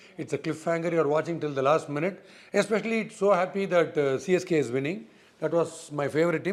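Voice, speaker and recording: Very fast male speech in a fairly high voice with ordinary pitch variation. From India, Chennai. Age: 60s. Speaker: former cricketer and cricket analyst. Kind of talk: interview.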